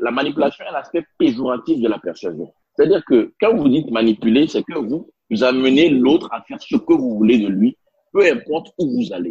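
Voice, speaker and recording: Pitch swings very widely at a fairly quick pace. The sound is dry and close, with no echo. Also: man, fairly high pitch for a man. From Benin. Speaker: leadership consultant and interpreter. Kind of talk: interview. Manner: hesitant fillers.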